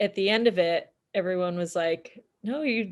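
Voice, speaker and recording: At a fairly slow pace, a woman with a normal speaking voice talks at a medium pitch with ordinary pitch variation. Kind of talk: casual chat.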